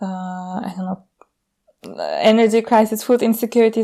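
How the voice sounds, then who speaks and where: The voice has a dark, mellow tone and a Turkish accent. It moves at a moderate pace with fairly even intonation. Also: woman. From Turkey. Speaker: designer and researcher. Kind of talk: casual chat.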